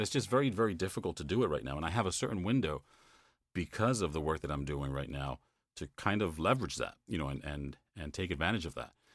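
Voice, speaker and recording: This speaker has an American accent with vocal fry. The delivery moves at a fairly quick pace. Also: man. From New York / New Jersey area, US. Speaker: voice-over narrator. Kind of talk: interview conversation.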